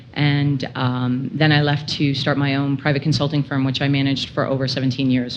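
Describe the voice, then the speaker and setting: With a Canadian accent, a woman with a very deep, low pitch talks in a monotone with flat intonation, very even loudness and hardly any pauses, with audible room echo. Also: fairly quick pace. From Ontario, York Region north of Toronto. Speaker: telecom executive, conference speaker. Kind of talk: conference presentation. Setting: stage with audience, microphone.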